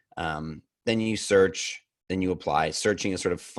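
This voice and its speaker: His pitch sits very deep and low. The voice belongs to a man. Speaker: career coach presenter. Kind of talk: webinar presentation. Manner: fast.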